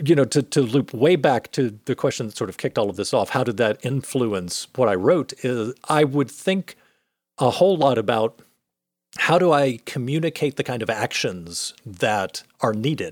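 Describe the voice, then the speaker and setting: In a dry, close recording with no echo, a man talks at a moderate pace with a medium pitch and lively intonation. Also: very clean recording, silent background. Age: 40s. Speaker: physicist and game writer. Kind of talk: casual interview.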